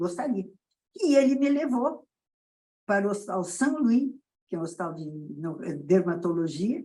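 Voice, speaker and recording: Pitch swings very wide throughout. The pace stays moderate. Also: woman. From southern Brazil, Rio Grande do Sul. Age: 80s+. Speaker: pediatrician. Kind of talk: interview.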